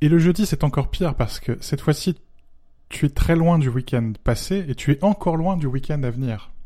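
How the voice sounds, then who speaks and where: A man talks at a moderate pace in a fairly high voice, his tone dark and mellow, somewhat breathy, with ordinary pitch variation. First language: Spanish (speaking French). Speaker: podcast co-host. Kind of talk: casual chat.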